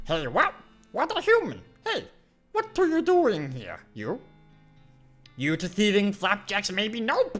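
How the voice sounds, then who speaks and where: Using a put-on character voice, a man with a high pitch speaks at a fairly slow pace with long, frequent pauses while faint music plays in the background. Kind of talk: broken, simple speech. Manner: suspicious, indignant.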